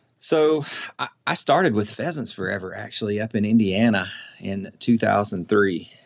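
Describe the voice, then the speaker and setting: This man has a Southern US accent and a fairly low pitch. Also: lively intonation. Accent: Southern drawl. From US South, middle Tennessee. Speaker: quail conservation program staff. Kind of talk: casual interview chat. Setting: remote call.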